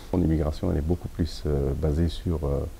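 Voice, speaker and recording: Noticeable background noise sits behind a man whose very deep, low pitch carries fairly even intonation. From Algeria. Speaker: university professor. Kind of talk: interview testimony.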